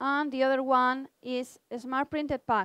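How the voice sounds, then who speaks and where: In a very clean recording with a silent background, a woman speaks at a high pitch with monotone, flat intonation. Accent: Spanish. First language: Spanish. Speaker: research institute department head. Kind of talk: conference presentation. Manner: halting.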